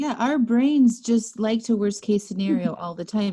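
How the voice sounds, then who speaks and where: A woman's dark, mellow, somewhat breathy voice at a moderate pace, ordinary pitch variation, quiet background. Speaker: sobriety coach and podcast host. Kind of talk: podcast interview conversation.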